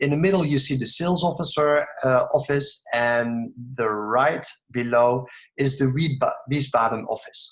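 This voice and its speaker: A somewhat breathy voice moves at a moderate pace with ordinary pitch variation. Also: man, fairly high pitch for a man. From Netherlands. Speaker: network marketing distributor. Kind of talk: sales pitch. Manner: mumbling; halting.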